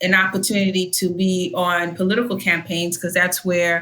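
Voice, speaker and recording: A woman speaks at medium pitch in a bright, sharp tone with fairly even intonation. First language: not English. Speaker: union leader and district leader. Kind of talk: interview. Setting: podcast studio.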